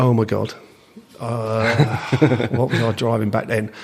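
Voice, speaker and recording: A man with an Essex accent speaks very slowly at a medium pitch in a monotone, flat delivery, with noticeable background noise behind him. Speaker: drag racing timer, aircooled VW enthusiast. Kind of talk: podcast interview answer.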